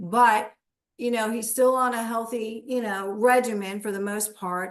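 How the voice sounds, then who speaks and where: Using a plain, everyday voice, a woman speaks at a fairly high pitch with fairly even intonation. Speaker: wellness product promoter. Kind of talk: interview testimony.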